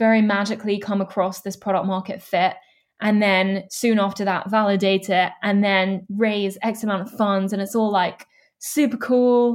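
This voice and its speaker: This woman has a normal speaking voice pitched at a medium level. She talks at a moderate pace. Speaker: student start-up founder. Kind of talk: interview.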